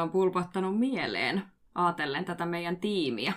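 At a moderate pace, a woman with a medium pitch speaks over noticeable background noise. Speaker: podcast host and street mediation worker. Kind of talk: casual discussion.

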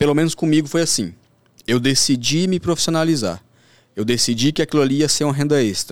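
With an unremarkable speaking voice, a man talks at a fairly quick pace, his fairly high pitch carrying lively intonation at very even loudness. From Brasília outskirts, Brazil. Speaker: sports trader. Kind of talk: podcast interview.

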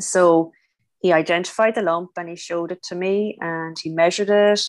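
On a very clean recording with a silent background, a woman with a strong Irish accent speaks at a moderate pace and a fairly low pitch. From Ireland. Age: 50s. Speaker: cancer survivor, former nurse. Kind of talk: interview testimony.

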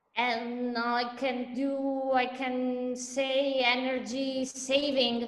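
A woman's high voice in an Italian accent, very slow and flat in a monotone, with hardly any pauses, audible room echo and noticeable background noise. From Italy. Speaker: lawyer. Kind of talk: interview. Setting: video call. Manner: halting.

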